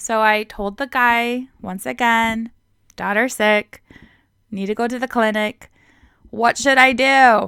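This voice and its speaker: Delivered at a very slow pace with long, frequent pauses, the monotone, flat voice has a bright, sharp tone in a very clean, dry, close recording with a silent background and no echo. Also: woman, fairly high pitch for a woman. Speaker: English teacher on video channel. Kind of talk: casual talk to camera.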